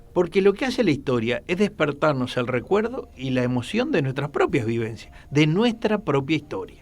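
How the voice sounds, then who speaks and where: The speaker talks at a moderate pace with hardly any pauses. Pitch swings very widely over music in the background. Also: man, fairly high pitch for a man. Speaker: radio host. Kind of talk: casual chat.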